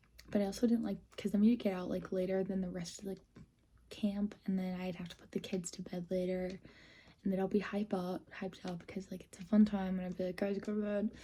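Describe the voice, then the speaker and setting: A somewhat breathy woman's voice at medium pitch, with monotone, flat intonation and an American accent. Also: fairly quick pace. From Minnesota. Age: 20s. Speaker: vlogger. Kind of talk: story time vlog. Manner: casual, many fillers.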